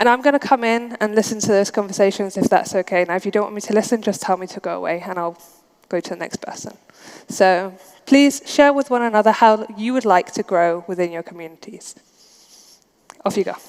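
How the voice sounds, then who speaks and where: Her pace fairly quick, a woman talks with big swings in loudness. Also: medium pitch for a woman, ordinary pitch variation. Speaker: conference speaker. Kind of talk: conference talk. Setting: stage with audience. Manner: interactive, addressing audience.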